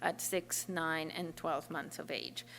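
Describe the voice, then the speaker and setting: Her voice carries vocal fry as a woman with a non-native accent speaks at a fairly slow pace with fairly even intonation. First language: not English. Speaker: neuroscience researcher. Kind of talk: lecture. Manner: halting, many fillers.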